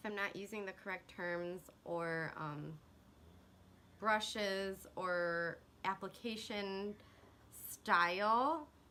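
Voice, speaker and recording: Bright and sharp in tone, a woman with an American accent speaks at medium pitch with ordinary pitch variation. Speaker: beauty vlogger. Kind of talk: makeup tutorial. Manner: casual, chatty.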